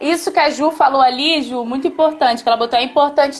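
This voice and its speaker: A woman speaks at a high pitch and a fairly quick pace. Noticeable background noise is present. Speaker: teacher. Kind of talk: live stream talk. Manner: fast.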